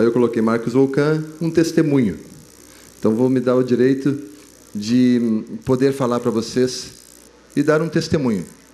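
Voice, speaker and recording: Audible room echo surrounds a man speaking. He uses a moderate pace and ordinary pitch variation. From southern Brazil, Rio Grande do Sul. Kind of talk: testimony at a religious youth congress. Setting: stage with audience. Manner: casual, halting with fillers.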